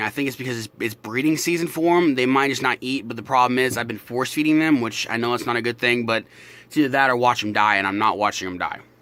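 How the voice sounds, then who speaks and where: A man against noticeable background noise. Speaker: reptile keeper vlogger. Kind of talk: casual vlog update. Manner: exaggerated open-mouthed articulation; casual, filler-heavy, swearing.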